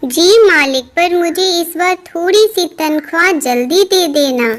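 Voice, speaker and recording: A woman puts on a squeaky, cartoonish character voice at an extremely high pitch. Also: fairly slow pace, ordinary pitch variation. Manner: humble, deferential.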